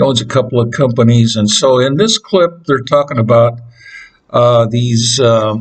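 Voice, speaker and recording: A man speaks with an American accent. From Utah. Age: 80s+. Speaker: YouTube commentator. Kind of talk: casual commentary. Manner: halting, many fillers.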